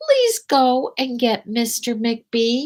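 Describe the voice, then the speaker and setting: A woman puts on a character voice, soft-spoken and high in pitch. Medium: read story. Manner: soft-spoken, warm.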